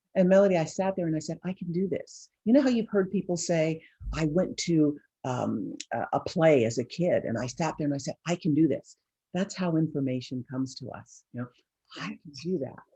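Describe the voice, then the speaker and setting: With a very deep, low pitch and a dark, mellow tone, a woman sounds somewhat breathy. Her intonation is lively and her pace moderate. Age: 60s. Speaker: image consultant. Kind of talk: interview. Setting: video call.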